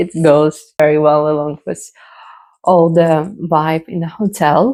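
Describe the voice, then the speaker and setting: In a dark, mellow tone, a woman talks with a non-native accent. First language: not English. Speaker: belly dancer. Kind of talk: casual talk to camera.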